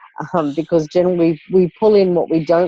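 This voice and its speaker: A woman with an Australian accent at a very fast pace. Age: 60s. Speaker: life coach. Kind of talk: coaching call. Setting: phone call.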